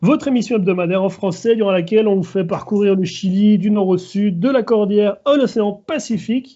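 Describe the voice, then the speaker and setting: A man at a high pitch, moderate pace and ordinary pitch variation. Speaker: podcast host. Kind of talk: casual podcast conversation.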